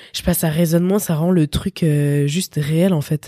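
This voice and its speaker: Dark, mellow tone from a woman, with ordinary pitch variation and a dry, close sound with no echo. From France, Paris region. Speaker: electronic music producer and DJ. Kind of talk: casual interview.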